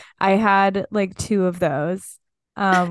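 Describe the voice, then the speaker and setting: Over a quiet background, a woman speaks in a monotone, flat intonation. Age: 20s. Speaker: podcast co-host and fashion stylist. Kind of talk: casual chat.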